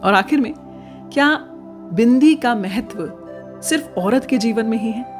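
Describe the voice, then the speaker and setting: With music playing in the background, the speech carries lively intonation. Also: woman. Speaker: former radio jockey. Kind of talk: informational podcast narration.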